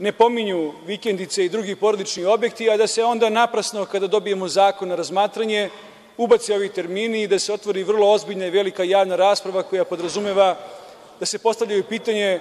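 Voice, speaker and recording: The speech moves at a very fast pace. Its intonation stays fairly even. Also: man, high pitch for a man. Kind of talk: parliamentary speech. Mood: critical, argumentative. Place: hall. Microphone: podium.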